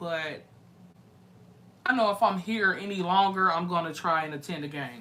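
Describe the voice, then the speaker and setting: In a room with audible echo, a woman with an American accent speaks in an animated tone at a moderate pace. Her pitch is medium, with ordinary variation. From US Midwest, St. Louis. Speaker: live-stream music reaction host. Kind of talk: casual live-stream chat with viewers.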